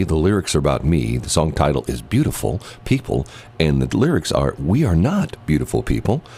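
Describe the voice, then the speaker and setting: Through noticeable background noise, a man with a very deep, low voice talks fairly quickly, his pitch swinging very widely. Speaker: radio host. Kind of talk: morning radio show banter.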